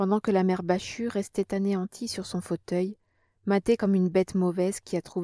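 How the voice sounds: The backdrop is quiet behind a natural reading voice.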